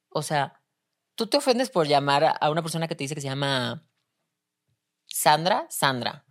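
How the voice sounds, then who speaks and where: On a very clean recording with a silent background, a woman with a very deep, low pitch and ordinary pitch variation speaks with long, frequent pauses. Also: moderate pace. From Spain, Seville. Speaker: artist and actress. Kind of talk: casual interview.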